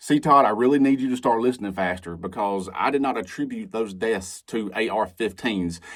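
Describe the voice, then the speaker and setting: With a Southern US accent, a man talks at a fairly quick pace and medium pitch, with ordinary pitch variation and hardly any pauses. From Alabama, US South. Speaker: commentary video creator. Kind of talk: reaction commentary. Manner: animated.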